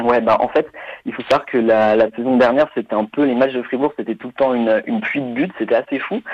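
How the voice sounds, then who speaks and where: Talking at a very fast pace, a man with a medium pitch uses ordinary pitch variation. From France, Nantes. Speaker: football expert on German football. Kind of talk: casual chat.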